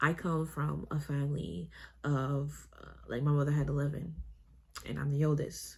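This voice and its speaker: A woman with a very deep, low pitch talks at a moderate pace and sounds somewhat breathy. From Canada. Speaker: nail technician and vlogger. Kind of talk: casual vlog chat. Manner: hesitant, many fillers.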